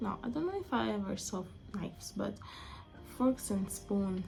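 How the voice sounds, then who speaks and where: A woman talks at a fairly slow pace over music in the background, with audible room echo. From Angola. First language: Portuguese. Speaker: vlogger. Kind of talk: casual monologue vlog. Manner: halting, with frequent self-corrections.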